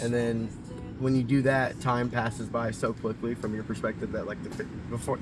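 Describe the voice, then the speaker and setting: With an Oklahoma accent and music in the background, a man talks at a fairly quick pace in a medium pitch and a flat monotone. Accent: Oklahoma, American Southern-Midland. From Oklahoma, USA. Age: 30s. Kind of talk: street interview answer. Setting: outdoors, park. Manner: casual, hesitant.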